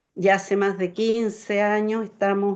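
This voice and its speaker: At a fairly slow pace, a woman with a Chilean accent speaks at a medium pitch. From Chile, Santiago. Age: 60s. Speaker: community organizer. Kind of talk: interview.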